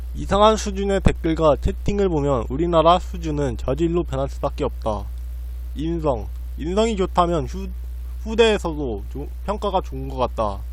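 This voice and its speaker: Audible room echo surrounds a man with a very deep, low pitch. His intonation is monotone and flat. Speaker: blogger reading own diary posts. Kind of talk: reading aloud. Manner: halting, frequent stumbles and restarts.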